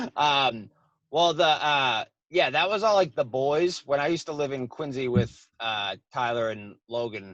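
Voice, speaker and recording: With a strong Boston accent, a man talks at a fairly slow pace, his pitch varying in an ordinary way. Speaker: comedian. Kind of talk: casual chat.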